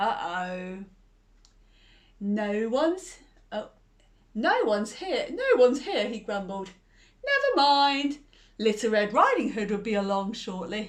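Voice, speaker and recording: Using a growling, put-on character voice at a fairly high pitch, a woman speaks at a fairly slow pace with long, frequent pauses. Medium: read story. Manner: sly, growling.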